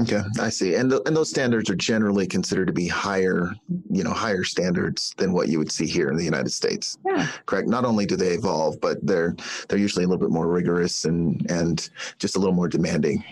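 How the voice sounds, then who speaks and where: A man's very deep, low voice at a very fast pace, with ordinary pitch variation and very even loudness. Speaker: podcast host. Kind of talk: interview. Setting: phone call.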